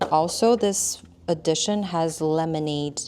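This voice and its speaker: The voice has a dark, mellow tone and a non-native accent. Its pitch varies in an ordinary way. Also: woman. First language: not English. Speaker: tarot deck artist. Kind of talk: product review chat. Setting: filmed on camera. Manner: casual, with fillers and restarts.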